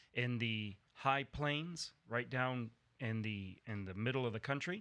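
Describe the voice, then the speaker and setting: Speaking at a fairly slow pace with an American accent, a man uses a bright, sharp tone at medium pitch with ordinary pitch variation. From grew up in Mexico, American family. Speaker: podcast host and church pastor. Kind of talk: casual chat. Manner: halting, many fillers.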